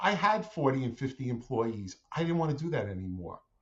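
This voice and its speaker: A man's somewhat breathy, medium-pitched voice at a moderate pace, with very wide pitch swings. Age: 60s. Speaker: franchise owner, former family business owner. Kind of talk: interview podcast.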